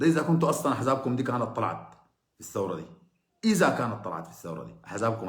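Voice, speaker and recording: A man with a Sudanese accent speaks in an animated, somewhat breathy voice with audible room echo. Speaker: political commentator. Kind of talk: political monologue. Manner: sarcastic.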